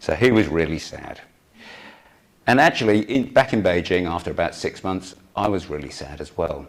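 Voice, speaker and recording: Speaking at a moderate pace with a British accent, a man with a fairly low pitch uses lively intonation, big swings in loudness, and long, frequent pauses. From United Kingdom. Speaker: emergency physician. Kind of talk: conference talk.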